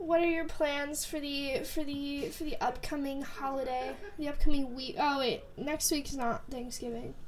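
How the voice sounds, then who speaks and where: A woman's high-pitched voice at a moderate pace, with ordinary pitch variation, hardly any pauses and audible room echo. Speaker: podcast co-host, college student. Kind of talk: casual chat.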